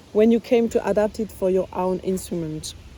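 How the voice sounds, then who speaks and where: Speaking at a moderate pace with an ordinary amount of pitch movement, a woman talks in a French accent over noticeable background noise. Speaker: bassoonist. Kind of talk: interview answers, reading own questions aloud. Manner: halting, many fillers.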